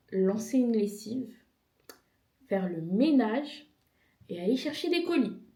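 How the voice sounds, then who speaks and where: A woman talks at a very slow pace in a dark, mellow, somewhat breathy tone with lively intonation, and the room echo is audible. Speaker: vlogger. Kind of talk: casual vlog.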